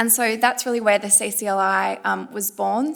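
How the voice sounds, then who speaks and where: With an Australian accent, a woman speaks in a fairly high voice. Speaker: climate law panelist. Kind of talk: panel discussion.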